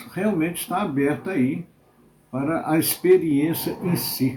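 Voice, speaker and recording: At a very slow pace, a man talks in a dark, mellow tone with ordinary pitch variation. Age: 70s. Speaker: accountant. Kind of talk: interview testimony.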